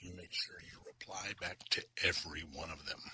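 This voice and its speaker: Whispering at a fairly slow pace, a man speaks in a calm, relaxed tone. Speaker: commercial photographer. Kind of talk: ASMR-style calm storytelling to camera. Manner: calm, relaxed, non-whispered.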